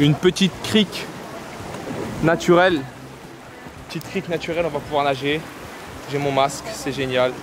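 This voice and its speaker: A man speaks at a fairly quick pace in a fairly high pitch, with long, frequent pauses. Noticeable background noise runs underneath. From Paris, France. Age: 20s. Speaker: travel vlogger. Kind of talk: casual vlog chat. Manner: animated.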